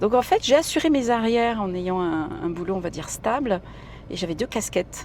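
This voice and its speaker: Woman at medium pitch, moderate pace, lively intonation. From Italy (Sicilian parents, raised in Italy). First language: Italian (speaking French). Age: middle-aged. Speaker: singer-songwriter and actress. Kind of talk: casual interview. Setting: in a car driving through the city. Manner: chatty, hesitant with many fillers.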